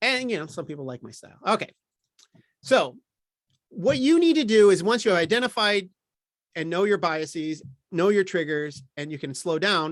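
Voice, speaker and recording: A man speaks at a high pitch with lively intonation. His loudness swings widely, and he takes long, frequent pauses. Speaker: workshop presenter on ethics and equity. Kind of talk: lecture. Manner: fast.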